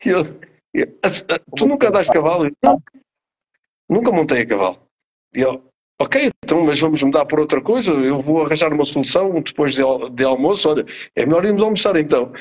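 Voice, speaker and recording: A man talks at a fairly high pitch with lively intonation. His loudness stays very even, broken by long, frequent pauses. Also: fairly quick pace. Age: 50s. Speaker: actor. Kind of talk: interview. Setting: live video stream.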